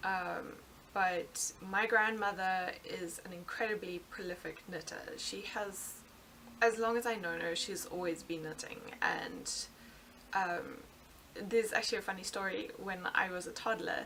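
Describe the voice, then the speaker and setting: A bright, sharp tone with a South African accent, fairly slow pace and fairly even intonation. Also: woman, medium pitch for a woman. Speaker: knitting podcaster. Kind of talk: casual podcast monologue. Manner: hesitant, many fillers.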